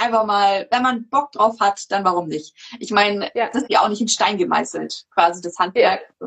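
Here is a woman with an ordinary speaking voice and medium pitch. She talks at a moderate pace with ordinary pitch variation. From Munich, Bavaria. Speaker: podcast host. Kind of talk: livestream interview. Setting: video livestream.

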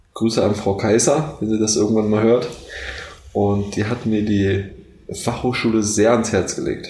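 There is audible room echo and noticeable background noise. Against it, a man talks at a fairly low pitch with ordinary pitch variation. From Brandenburg, Germany (Neuruppin). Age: 20s. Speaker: university student. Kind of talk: casual chat.

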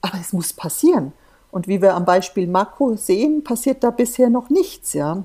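A woman with a medium pitch and a dark, mellow tone. Her pitch swings very widely, and her loudness shifts in big swings. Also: moderate pace. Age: 50s. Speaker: volunteer shark conservationist and pharmacist. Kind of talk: interview. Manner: animated.

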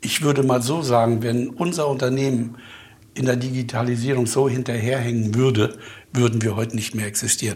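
Audible room echo carries a man's somewhat breathy voice. His pitch is medium and his intonation fairly even. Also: fairly quick pace. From Mecklenburg, Germany. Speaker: company owner and chemist. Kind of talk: interview.

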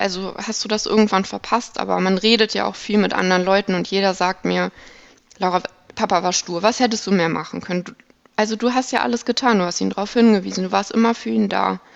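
A woman at medium pitch, very fast in pace, with ordinary pitch variation. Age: 20s. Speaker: operating room technical assistant. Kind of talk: personal testimony in interview.

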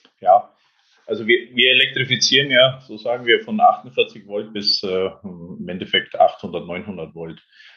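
At a very slow pace, a man talks with big swings in loudness. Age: 50s. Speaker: electrification executive at an auto supplier. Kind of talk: interview. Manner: halting, many filler sounds.

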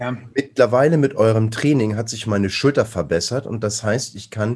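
With ordinary pitch variation, a man speaks in a somewhat breathy voice at a medium pitch. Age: 40s. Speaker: strength athlete. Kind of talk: casual chat.

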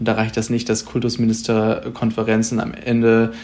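A man speaks in a monotone with flat intonation. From northern Germany, Pinneberg district near Hamburg. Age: 20s. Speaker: young party politician, local councillor. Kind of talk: podcast debate. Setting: remote recording.

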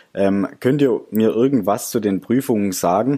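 A man's fairly low, dark, mellow voice with ordinary pitch variation. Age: 20s. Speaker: engineering graduate, student podcaster. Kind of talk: casual interview.

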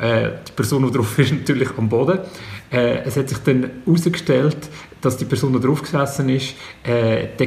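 Medium-pitched male speech, moderately paced and fairly level in tone, amid noticeable background noise and audible room reverberation. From Switzerland, Zug. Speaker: comedian. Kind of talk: casual chat.

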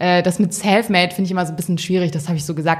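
A woman talks in an unremarkable speaking voice. Her pitch sits fairly low, and her intonation stays fairly even. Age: 20s. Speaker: fashion editor. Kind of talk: interview. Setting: magazine office.

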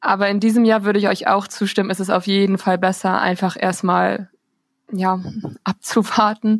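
A woman speaks at a medium pitch and a moderate pace with fairly even intonation in a plain, everyday voice. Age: 20s. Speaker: student intern. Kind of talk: casual chat. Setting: remote recording.

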